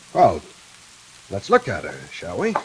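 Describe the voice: A put-on character voice with a husky, rough edge swings very widely in pitch at a fairly slow pace. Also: man, low pitch for a man.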